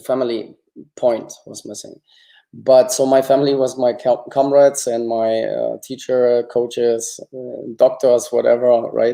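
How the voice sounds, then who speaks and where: Big swings in loudness mark this man's speech, delivered at a fairly slow pace. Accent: German. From East Germany. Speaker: former Olympic gymnast. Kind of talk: interview.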